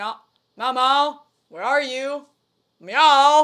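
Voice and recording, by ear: High pitch in a put-on character voice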